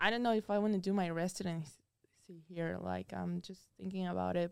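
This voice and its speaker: The recording is very clean with a silent background. A woman talks in a normal speaking voice. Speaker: college tennis player. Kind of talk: casual interview. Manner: casual, frequent 'like'.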